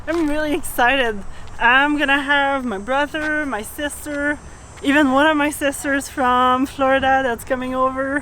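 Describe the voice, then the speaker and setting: A woman with a French Canadian accent uses a raised, projected voice at a high pitch, a moderate pace and fairly even intonation. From Quebec, Canada. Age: young. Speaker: sailing vlogger. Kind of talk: casual vlog chat; vlog narration.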